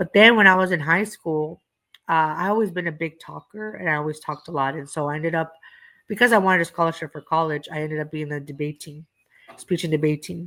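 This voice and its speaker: Speaking at a very fast pace, a woman has a fairly low pitch and a bright, sharp tone. Her pitch varies in an ordinary way while her loudness swings widely. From East Los Angeles, Southern California. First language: Spanish. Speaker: comedian. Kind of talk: casual chat.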